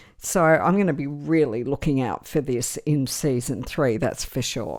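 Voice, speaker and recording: A woman speaks at a moderate pace with an Australian accent. Her pitch is very deep and low. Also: ordinary pitch variation. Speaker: fantasy TV show commentator. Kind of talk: podcast-style commentary reading social media responses. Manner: casual, with fillers.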